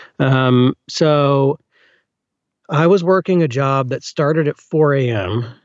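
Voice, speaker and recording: A man with a Southern US accent and a fairly high pitch speaks at a very slow pace with ordinary pitch variation. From US South, Birmingham, Alabama. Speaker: audiobook narrator. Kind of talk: casual interview.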